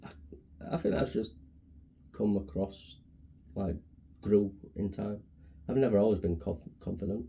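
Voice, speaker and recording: Quiet and mumbling, the voice has a dark, mellow tone and a somewhat breathy quality, moving at a moderate pace with ordinary pitch variation and long, frequent pauses. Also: man, fairly low pitch for a man. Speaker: podcast co-host. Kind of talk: casual chat.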